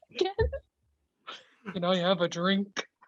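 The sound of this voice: A female-sounding voice sits at a middle pitch. It is a put-on character voice.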